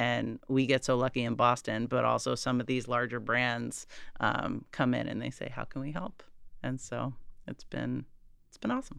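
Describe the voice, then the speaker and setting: In an American accent, a woman speaks at a moderate pace with big swings in loudness. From Massachusetts. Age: 40s. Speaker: nonprofit founder. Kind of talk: interview.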